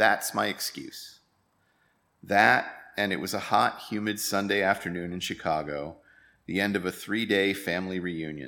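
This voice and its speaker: A man with an American accent and a fairly low pitch, bright, sharp in tone, at a moderate pace with ordinary pitch variation, on a very clean recording with a silent background. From United States. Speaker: lay worship leader. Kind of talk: sermon.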